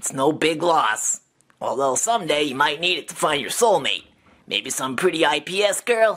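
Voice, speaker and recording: Someone talks in a put-on character voice at a middle pitch and a moderate pace. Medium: solo performance. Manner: sarcastic, chatty.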